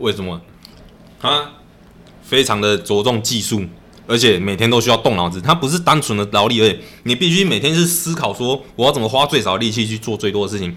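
A man with an unremarkable speaking voice talks at a fairly quick pace. His pitch is medium and his intonation lively. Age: 30s. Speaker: masonry worker. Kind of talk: casual chat.

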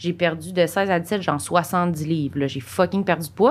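A woman with an unremarkable speaking voice, fairly low in pitch, at a fairly slow pace. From Quebec, Saint-Jean-sur-Richelieu. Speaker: podcast co-host. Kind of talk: casual chat.

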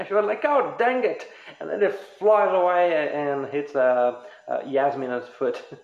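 A man's high-pitched voice with very wide pitch swings at a fairly slow pace, amid noticeable background noise and audible room echo. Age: 20s. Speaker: podcast host. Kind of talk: casual chat.

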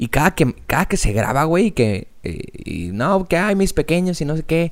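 A man speaks with a Mexican accent at a fairly slow pace. His voice sits fairly high and swings very widely in pitch. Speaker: podcast co-host. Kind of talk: casual chat.

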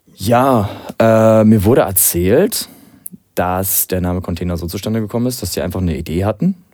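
Music plays in the background as a man talks at a moderate pace, his fairly low pitch showing ordinary pitch variation. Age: 20s. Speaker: DJ. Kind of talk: casual chat.

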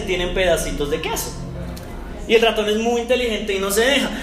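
Music plays in the background, and room echo is audible. A man with an extremely high pitch speaks at a moderate pace with fairly even intonation. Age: 30s. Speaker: pastor. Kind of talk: sermon.

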